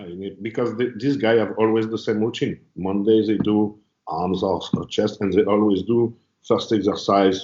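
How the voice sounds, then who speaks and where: With a French accent, a man speaks in a fairly low voice with fairly even intonation. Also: moderate pace. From France. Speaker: bodybuilder and trainer. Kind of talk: casual interview.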